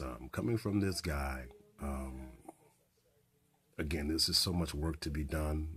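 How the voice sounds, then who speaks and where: A very slow pace with ordinary pitch variation, over music in the background. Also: man. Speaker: community radio host. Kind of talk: radio host opening monologue with political commentary. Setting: radio studio broadcast.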